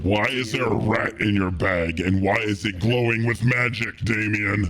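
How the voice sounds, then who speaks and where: A man's put-on character voice, fairly low in pitch, at a moderate pace, with very even loudness and fairly even intonation. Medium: actual play.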